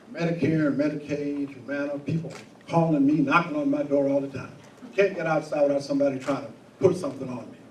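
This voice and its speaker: This man talks at a very fast pace in a fairly high voice with fairly even intonation. Audible room echo and noticeable background noise fill the recording. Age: 60s. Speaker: prosecutor candidate. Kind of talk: candidate forum answer. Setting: stage with live audience. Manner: blunt, straightforward.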